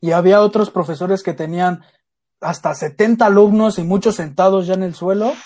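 At a moderate pace, a man speaks with a high pitch and ordinary pitch variation. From Mexico City (Iztapalapa). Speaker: podcast co-host. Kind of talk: casual chat.

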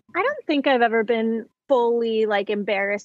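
In a normal speaking voice, a woman talks at a fairly high pitch with ordinary pitch variation, the sound dry and close with no echo. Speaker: Hollywood historian, YouTuber, podcast host.

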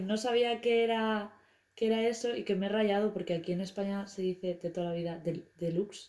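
With a dark, mellow tone and a fairly high pitch, a woman speaks at a moderate pace with ordinary pitch variation. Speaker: podcast co-host and editor. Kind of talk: casual chat.

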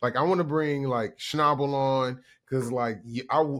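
A man speaks at a moderate pace with a Southern US accent and a fairly high pitch. The recording is very clean, with a silent background. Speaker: podcast co-host. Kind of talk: casual chat.

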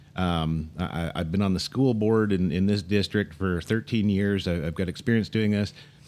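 The voice moves at a moderate pace with hardly any pauses and ordinary pitch variation, on a very clean recording with a silent background. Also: man, very deep, low pitch for a man. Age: 50s. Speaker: political talk show co-host. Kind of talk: casual political talk show. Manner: halting, repeats words.

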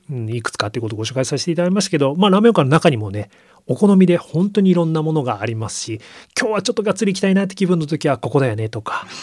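A man talks very fast at a high pitch, with very wide pitch swings. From Yokohama, Japan. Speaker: magazine editor-in-chief. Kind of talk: radio interview. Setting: radio studio.

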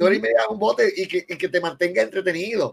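A man with a Puerto Rican accent, talking at a very fast pace. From Puerto Rico. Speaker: film director. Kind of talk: casual chat.

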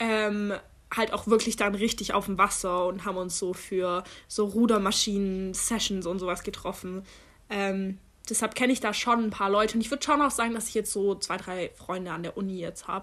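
On a very clean recording with a silent background, a woman in an ordinary speaking voice talks at a moderate pace with a medium pitch and fairly even intonation. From Germany. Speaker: podcast co-host, university student. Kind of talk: casual chat.

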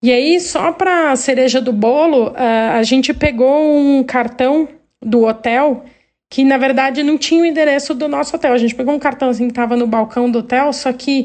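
This high-pitched woman keeps a fairly even intonation. She speaks at a moderate pace over a quiet background. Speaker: listener sending a story. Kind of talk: recorded voice message telling a story. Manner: halting.

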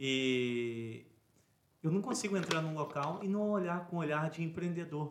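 This is an unremarkable speaking voice. It goes at a fairly slow pace. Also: man. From Brazil, Resende (Rio de Janeiro state). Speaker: podcast host, entrepreneur. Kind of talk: interview conversation.

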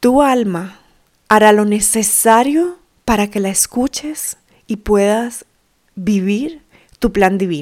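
A woman's fairly high voice with lively intonation, very slow in pace, broken by long, frequent pauses. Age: 30s. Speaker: podcast host and women's coach. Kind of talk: reflective solo monologue.

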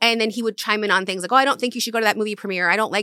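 A woman with an American accent speaks at a medium pitch with a bright, sharp tone and fairly even intonation, in a very clean recording with a silent background and a dry, close sound with no echo. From US South (South Carolina, Florida). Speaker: brand manager and publicist. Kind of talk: casual interview chat.

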